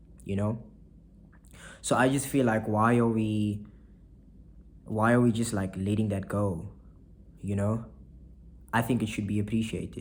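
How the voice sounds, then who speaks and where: In a room with audible echo, a man with a fairly low pitch speaks at a moderate pace in a flat monotone, leaving long, frequent pauses. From South Africa, Saldanha (Western Cape). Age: 20s. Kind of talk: casual vlog monologue.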